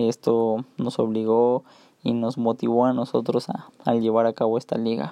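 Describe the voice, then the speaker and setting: A man with a medium pitch delivers his words fairly slowly and with fairly even intonation. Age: 20s. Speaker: sports coach. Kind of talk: solo podcast talk. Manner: halting.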